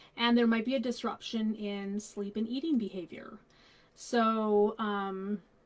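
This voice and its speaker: A plain, everyday voice with fairly even intonation at a fairly slow pace. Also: woman, fairly high pitch for a woman. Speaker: grief counsellor. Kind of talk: live stream talk on children's grief. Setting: Facebook live stream.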